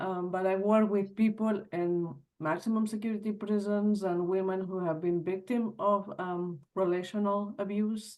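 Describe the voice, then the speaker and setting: Moderate pace in a Spanish accent, with hardly any pauses. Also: woman, medium pitch for a woman, fairly even intonation. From Spain. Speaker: trauma group facilitator, webinar attendee. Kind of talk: audience question.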